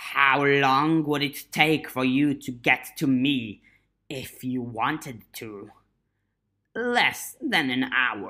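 This is a put-on character voice. It sits at a low-to-middle pitch and goes at a very slow pace. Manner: menacing, taunting.

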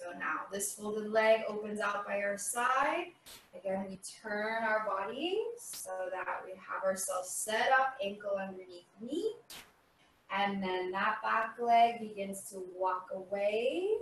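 A woman's voice with big swings in loudness and ordinary pitch variation, audible room echo, and light background noise. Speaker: yoga instructor. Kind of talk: guided chair yoga class with spoken cues. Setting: video. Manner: calm, soothing, slow and gentle; instructional, leads with clear step-by-step cues. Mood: calm, soothing. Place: home room. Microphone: camera far.

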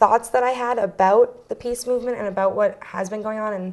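A woman talks at a moderate pace. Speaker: guest. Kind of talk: interview answer. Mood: friendly, smiling, a bit nervous. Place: studio.

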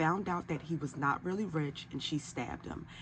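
Light background noise sits behind a woman with a very deep, low pitch and vocal fry. She speaks at a moderate pace with ordinary pitch variation. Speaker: commentary vlogger. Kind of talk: commentary. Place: home room.

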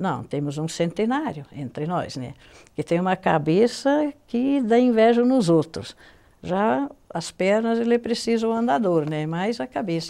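With a dark, mellow tone, a woman speaks at a fairly slow pace, her pitch swinging very widely. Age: 70s. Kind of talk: interview. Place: studio.

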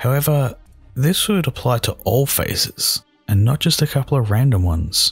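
Over music in the background, a man with an Australian accent speaks at a moderate pace with lively intonation and very even loudness. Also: medium pitch for a man. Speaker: horror story narrator. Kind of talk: scary story narration.

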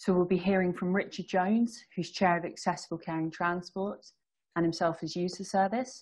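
Against a quiet background, a woman with a normal speaking voice and a fairly low pitch speaks at a moderate pace with fairly even intonation. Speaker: event host or moderator. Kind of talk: moderator introduction. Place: home room. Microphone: video call.

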